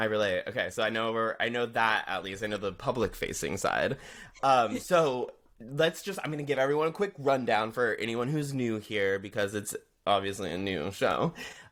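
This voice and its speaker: Here a man has a plain, everyday voice at a medium pitch with lively intonation. He speaks at a moderate pace on a very clean recording with a silent background. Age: 30s. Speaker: podcast host. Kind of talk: interview podcast.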